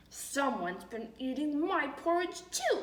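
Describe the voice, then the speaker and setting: Using a put-on character voice, a woman growls at a high pitch and a fairly slow pace. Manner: growling, frustrated.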